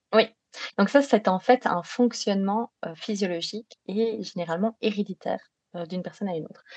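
Speech in a slight Belgian accent at a moderate pace, with ordinary pitch variation, big swings in loudness and long, frequent pauses. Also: woman, medium pitch for a woman. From Belgium. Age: 30s. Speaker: sleep psychologist. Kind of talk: podcast interview.

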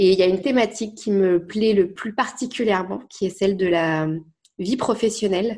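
A woman talks at a moderate pace in a medium pitch, with ordinary pitch variation and a normal speaking voice. The background is quiet. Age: 20s. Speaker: life coach. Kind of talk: casual chat.

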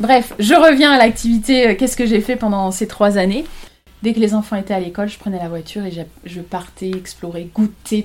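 A woman speaks at a moderate pace and a medium pitch, with ordinary pitch variation. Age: 30s. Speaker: photographer. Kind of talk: casual chat. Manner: halting.

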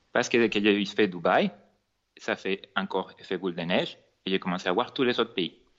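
A man speaks fairly quickly in a Venezuelan accent, his pitch fairly low and its variation ordinary. His delivery has a sing-song lilt. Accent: noticeable Venezuelan Spanish. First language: Spanish (speaking French). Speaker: cake designer and entrepreneur. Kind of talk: podcast interview. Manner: sing-song accent.

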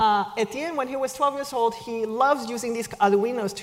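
There is noticeable background noise in this recording. A woman speaks at a fairly high pitch with ordinary pitch variation. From China. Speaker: speaker at a business school event. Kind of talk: talk to an audience. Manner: hesitant, many fillers.

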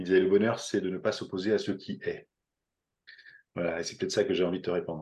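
A man talks at a very fast pace. His speech still has long, frequent pauses. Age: 50s. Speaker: entrepreneur and company leader. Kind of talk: casual interview. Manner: hesitant, with repeated words.

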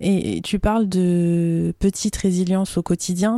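Her voice is fairly low in pitch, with a dark, mellow tone. The woman's intonation stays fairly even. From France, small town. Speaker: podcast host. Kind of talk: interview.

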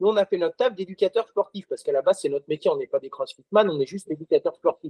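With lively intonation and a high pitch, a man talks at a very fast pace. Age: 30s. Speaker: CrossFit gym owner and coach. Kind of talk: casual interview conversation.

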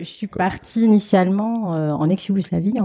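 With a dark, mellow tone and a somewhat breathy sound, a woman speaks at a moderate pace with ordinary pitch variation. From France, Alsace (Strasbourg). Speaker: fundraising manager. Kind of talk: interview. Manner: hesitant.

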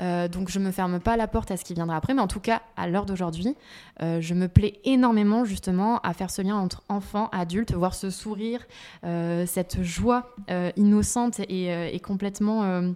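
Her tone dark and mellow, a woman of medium pitch speaks at a moderate pace with fairly even intonation. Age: 30s. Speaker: entrepreneur in children's activities. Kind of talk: interview.

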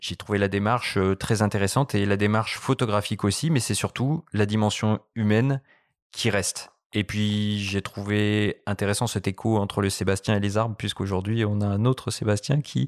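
A man with an unremarkable speaking voice, fairly low in pitch, at a moderate pace, with fairly even intonation and very even loudness, on a very clean recording with a silent background and a dry, close sound with no echo. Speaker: magazine editor. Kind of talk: podcast interview.

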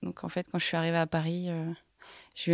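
A woman with a fairly low pitch is heard in a dry, close sound with no echo on a very clean recording with a silent background. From Haute-Savoie, French Alps. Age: young. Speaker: business consultant. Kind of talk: interview.

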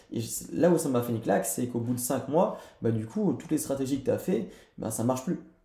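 This man's voice has medium pitch, a dark, mellow tone and a somewhat breathy quality. His intonation is lively, and audible room echo surrounds it. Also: fairly quick pace. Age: 20s. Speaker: entrepreneur. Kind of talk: casual chat. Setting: in person recording.

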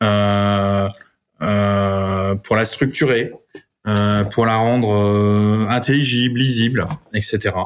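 At a very slow pace, a man speaks in a fairly low pitch with fairly even intonation and very even loudness. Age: 40s. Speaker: family office manager. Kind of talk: interview. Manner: halting.

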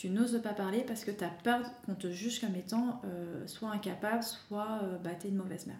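A woman speaks at a moderate pace with a medium pitch and ordinary pitch variation. Noticeable background noise and audible room echo fill the recording. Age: 30s. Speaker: wellness coach for mothers. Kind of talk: interview.

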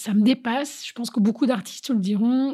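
A woman's voice sounds dark, mellow and somewhat breathy. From Paris, France. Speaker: DJ and kickboxing teacher. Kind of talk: interview testimony.

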